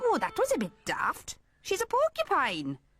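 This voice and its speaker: Faint music sits in the background of this cartoonish character voice. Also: moderate pace. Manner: bouncy, giggly.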